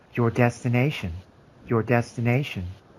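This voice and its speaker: At a moderate pace, a man uses a put-on character voice with a medium pitch. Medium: actual play. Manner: flat, repetitive.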